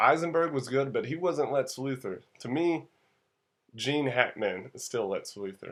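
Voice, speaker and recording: A man with an American accent speaks at a fairly slow pace with lively intonation, on a very clean recording with a silent background. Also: fairly high pitch for a man. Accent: southern US accent, comes out when tired. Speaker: movie reviewer. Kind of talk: casual movie review. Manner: casual, conversational.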